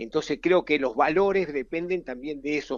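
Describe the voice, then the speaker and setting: This man speaks at a moderate pace in a normal speaking voice, fairly high-pitched for a man, with a dry, close sound and no echo. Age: 60s. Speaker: football fitness coach. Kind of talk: interview.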